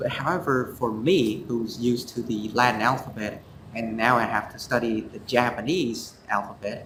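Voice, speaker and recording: Through noticeable background noise and audible room echo, a man with a Vietnamese accent speaks at a moderate pace and medium pitch with ordinary pitch variation. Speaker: student co-host. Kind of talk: casual review chat. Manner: halting, many fillers.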